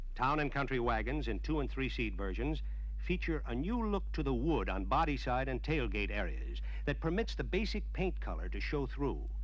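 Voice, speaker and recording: A man speaks with a very deep, low pitch at a moderate pace. His tone is confident, and his intonation is monotone and flat. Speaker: promotional film narrator. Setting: studio voice-over on a vintage dealer film. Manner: formal, brisk, confident announcer delivery.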